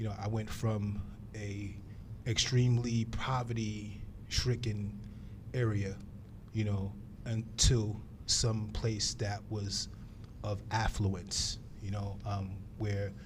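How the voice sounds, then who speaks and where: Speaking very slowly with long, frequent pauses, a man with a New York accent sounds somewhat breathy at a fairly low pitch. His intonation is monotone and flat, and audible room echo surrounds him. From New York City, South Bronx. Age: 50s. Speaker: professor, former police officer. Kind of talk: interview. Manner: halting, many fillers.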